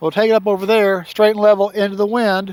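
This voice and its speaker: This man speaks with a high pitch. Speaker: RC plane reviewer. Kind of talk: outdoor flying demo commentary. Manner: casual.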